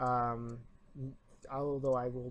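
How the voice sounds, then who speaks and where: This is a man talking. His pitch is medium. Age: 20s. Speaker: YouTuber and college student. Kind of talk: opinion rant vlog. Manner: trying to speak louder; halting.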